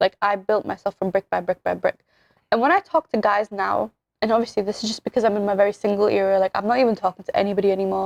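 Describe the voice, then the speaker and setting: Speaking very fast, a woman with a British accent uses a medium pitch. The sound is dry and close, with no echo. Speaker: podcast host. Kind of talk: casual chat. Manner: animated.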